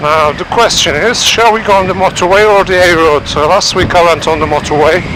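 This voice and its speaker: Over noticeable background noise, a man speaks at a fairly quick pace in a high pitch with ordinary pitch variation. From Turkey. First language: Turkish. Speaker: motorcycle vlogger. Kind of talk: casual vlog monologue. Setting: riding a motorcycle in traffic.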